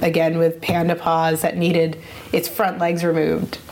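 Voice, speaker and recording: A woman's fairly low voice at a moderate pace, with noticeable background noise. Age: 30s. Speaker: animal photographer. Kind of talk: casual chat.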